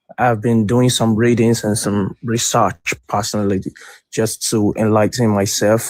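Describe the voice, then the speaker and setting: This is a man with a medium-pitched voice. He keeps his intonation fairly even. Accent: West African. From West Africa. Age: 30s. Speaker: caller. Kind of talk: call-in debate.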